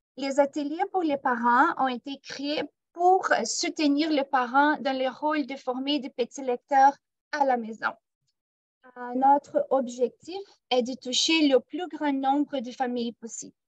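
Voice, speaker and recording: A woman talks at a very slow pace with a high pitch, ordinary pitch variation and a non-native accent. Her loudness swings widely, and the sound is dry and close with no echo. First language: not French (speaking French). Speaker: program manager. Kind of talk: workshop presentation. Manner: hesitant, many filler sounds.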